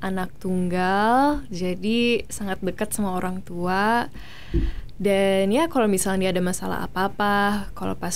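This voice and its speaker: At a moderate pace, the speech keeps a fairly even intonation with audible room echo. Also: woman. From Australia. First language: English (speaking Indonesian). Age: 20s. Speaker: beauty pageant winner and actress. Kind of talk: interview. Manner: code-switching between Indonesian and English.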